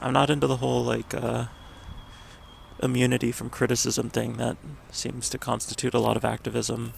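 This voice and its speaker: Noticeable background noise behind fairly quick talking. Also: man. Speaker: vlogger. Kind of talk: casual vlog monologue. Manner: halting, many fillers.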